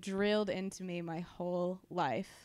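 The recording is very clean, with a silent background. A woman talks in a Californian accent. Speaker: stand-in co-host. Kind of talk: casual chat.

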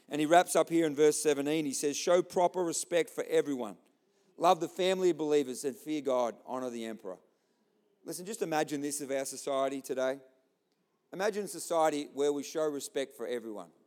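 In an Australian accent, a man rattles along at a very fast pace, his fairly high voice moving with ordinary pitch variation. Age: 40s. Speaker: pastor. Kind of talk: sermon. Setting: church.

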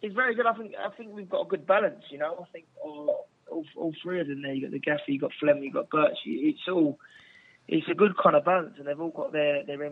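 A man's voice sits high in pitch, with lively intonation, a fairly quick pace and big swings in loudness. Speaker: footballer. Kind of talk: interview answers. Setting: phone call.

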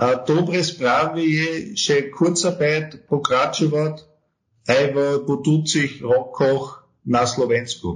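A man's fairly high-pitched voice with a German accent, a very slow pace, ordinary pitch variation and very even loudness. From Austria. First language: German (speaking Slovak). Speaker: tax advisory firm partner. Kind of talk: interview. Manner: halting, with many hesitations.

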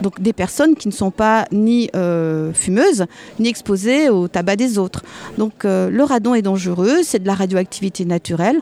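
A woman's medium-pitched voice, a plain, everyday voice, with lively intonation, very even loudness, and a dry, close sound with no echo. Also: fairly slow pace. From Alsace, France. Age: 60s. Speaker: midwife and anti-nuclear activist. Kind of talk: testimony.

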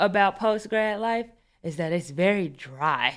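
On a very clean recording with a silent background, a woman speaks in an animated tone. Her pitch is medium with ordinary variation. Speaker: podcast host. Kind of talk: casual chat. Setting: radio studio.

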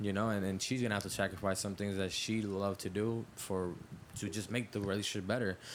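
This man's delivery is very rapid. His voice sits fairly low. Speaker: podcast co-host. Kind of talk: casual chat. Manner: animated.

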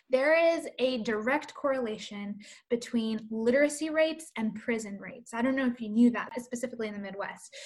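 Speaking at a fairly quick pace, a woman with an American accent uses a high voice with ordinary pitch variation. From US, Colombian American family. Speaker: children's book author-illustrator and publisher. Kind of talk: interview conversation. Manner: animated.

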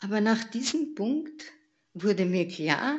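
Somewhat breathy, a woman speaks at medium pitch with very wide pitch swings. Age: 80s+. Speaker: church member giving testimony. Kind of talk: testimony. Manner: halting.

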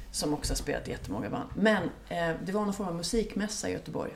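Noticeable background noise and audible room echo surround a woman speaking. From Sweden, Gothenburg suburb. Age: 40s. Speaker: music journalist and author. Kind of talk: casual interview. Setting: home kitchen. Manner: animated.

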